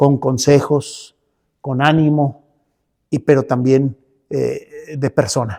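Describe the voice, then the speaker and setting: The voice has a dark, mellow tone and fairly even intonation. It moves very slowly, with long, frequent pauses. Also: man, fairly high pitch for a man. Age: 70s. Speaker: pastor and church leader. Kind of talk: interview. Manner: halting, with many fillers.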